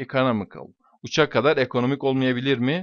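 A man speaks at a medium pitch. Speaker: English teacher. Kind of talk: lecture. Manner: hesitant fillers.

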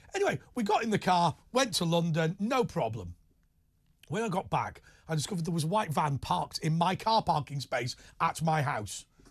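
Over a quiet background, a man speaks with a high pitch. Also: lively intonation, moderate pace. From northern England, Wigan area near Liverpool. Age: 40s. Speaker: radio and TV talk show host. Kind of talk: late night phone-in chat. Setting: studio, radio and TV simulcast. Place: studio. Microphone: lapel.

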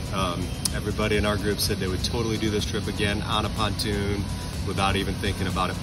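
A man talks over loud background music. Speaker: boat company sales representative. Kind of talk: casual vlog chat. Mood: upbeat, satisfied. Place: street. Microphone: phone near.

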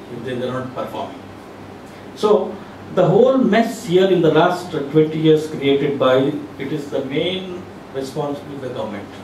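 A man with a fairly high pitch and lively intonation speaks at a moderate pace with long, frequent pauses. There is audible room echo and light background noise. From India, Telangana. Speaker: civil society activist. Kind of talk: panel discussion. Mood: critical, earnest. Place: meeting room.

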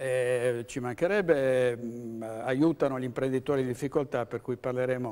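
Here a man speaks at a fairly slow pace. His tone is dark and mellow. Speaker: TV show host. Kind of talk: host introductions. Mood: warm, joking. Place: studio. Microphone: lapel.

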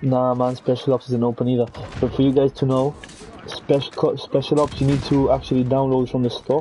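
Over noticeable background noise, a man speaks at a fairly quick pace with a medium pitch and very even loudness. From Gibraltar. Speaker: gaming streamer. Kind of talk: casual live-stream commentary while gaming. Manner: animated.

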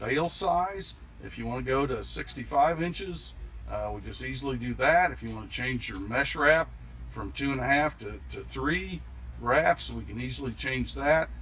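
Over light background noise, a man speaks at a moderate pace with big swings in loudness. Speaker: dealership salesperson. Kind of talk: product demonstration. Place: farm machine.

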